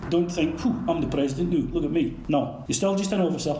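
A man talks at a very fast pace over noticeable background noise, with audible room echo. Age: 50s. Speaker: youth organisation volunteer leader. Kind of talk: interview.

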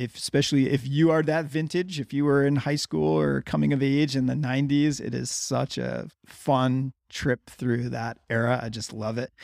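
With an ordinary speaking voice, a man at medium pitch talks at a moderate pace with ordinary pitch variation, in a dry, close sound with no echo. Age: 40s. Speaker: podcast host. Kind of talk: casual interview conversation.

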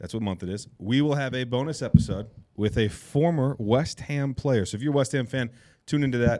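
On a very clean recording with a silent background, a man with a medium pitch and a dark, mellow tone speaks at a fairly quick pace with ordinary pitch variation. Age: 30s. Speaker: soccer podcast host. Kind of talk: casual chat. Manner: animated.

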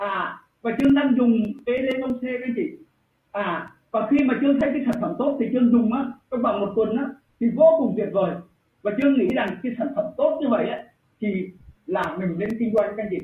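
A man talks at a fairly quick pace with an extremely high pitch. His pitch varies in an ordinary way. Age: 50s. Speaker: business distributor speaker. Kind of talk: presentation.

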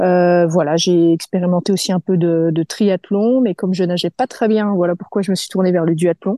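Her loudness very even and with hardly any pauses, a woman speaks at a moderate pace with fairly low pitch and fairly even intonation. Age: 30s. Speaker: sophrologist and amateur athlete. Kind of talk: interview. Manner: casual, hesitant with fillers.

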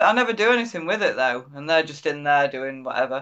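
Against a quiet background, a woman with an English accent speaks at a fairly quick pace in a very deep, low pitch with lively intonation. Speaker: podcast host, artist. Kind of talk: casual interview.

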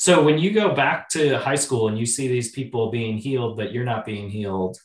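A man speaks in an ordinary speaking voice with an American accent at a medium pitch. His pace is moderate, and the background is quiet. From Wisconsin (Oshkosh). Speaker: podcast host. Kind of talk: casual interview chat.

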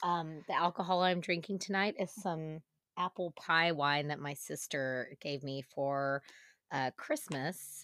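A woman speaks at a fairly low pitch and a fairly slow pace, with ordinary pitch variation. The sound is dry and close with no echo, on a very clean recording with a silent background. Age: 40s. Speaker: podcast co-host. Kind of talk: casual chat. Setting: recording from home.

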